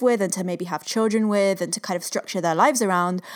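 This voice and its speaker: On a very clean recording with a silent background, a woman with an ordinary speaking voice talks at a medium pitch with fairly even intonation. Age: 30s. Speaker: podcast co-host. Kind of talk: casual chat.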